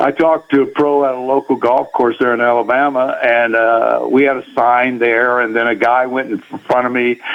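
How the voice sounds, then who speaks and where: A man's medium-pitched, monotone, flat voice at a moderate pace, with hardly any pauses and noticeable background noise. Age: 80s+. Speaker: golf record holder, charity fundraiser. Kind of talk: radio interview. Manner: halting.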